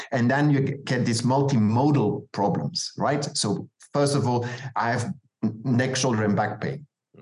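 A man of medium pitch speaks in a somewhat breathy voice with ordinary pitch variation. His loudness swings widely. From Belgium. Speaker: osteopath and author. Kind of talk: interview conversation.

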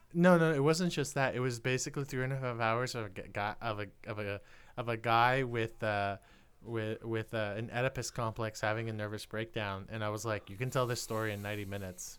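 A man at medium pitch in a normal speaking voice. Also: ordinary pitch variation, fairly quick pace. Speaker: podcast host. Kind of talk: casual chat.

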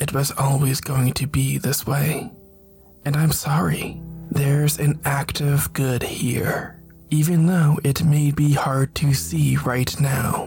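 Clear music plays in the background. A man uses a put-on character voice at a fairly high pitch and a fairly slow pace. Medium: read story. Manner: calm, measured, sermon-like.

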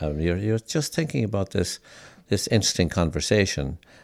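A speaker with a southwest Irish accent talks at a moderate pace with lively intonation and vocal fry. The recording is very clean, with a silent background. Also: man. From Ireland, County Limerick. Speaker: folk musician and folklore professor. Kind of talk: interview. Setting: living room of a private home.

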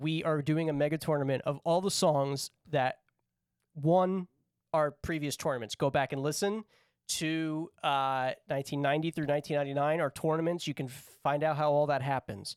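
This man has a normal speaking voice with a fairly high pitch, moving at a moderate pace with fairly even intonation. The recording is very clean with a silent background and a dry, close sound with no echo. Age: 30s. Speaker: podcast co-host running a music tournament draft. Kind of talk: casual chat. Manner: laughs often.

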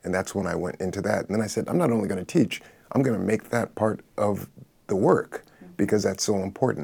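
In a plain, everyday voice, a man with an American accent talks at a fairly quick pace, his fairly low pitch showing ordinary variation. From Los Angeles, US. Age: 60s. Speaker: artist and retired professor. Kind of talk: panel conversation.

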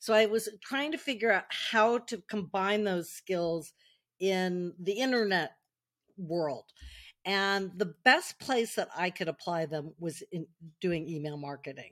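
A woman with an American accent speaks in a normal speaking voice, using lively intonation at a fairly slow pace. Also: medium pitch for a woman. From US West Coast, Silicon Valley. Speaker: marketer and author. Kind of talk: interview.

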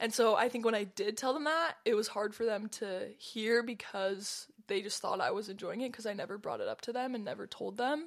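Using a plain, everyday voice, a woman with an American accent talks at a fairly quick pace and fairly high pitch, with ordinary pitch variation and hardly any pauses. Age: young. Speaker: college student and soccer player. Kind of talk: casual interview chat. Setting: studio.

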